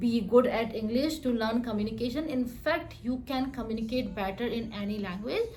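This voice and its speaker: A woman with an Indian accent speaks high-pitched at a moderate pace, with audible room echo. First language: Hindi. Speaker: software developer and vlogger. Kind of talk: vlog monologue. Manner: halting.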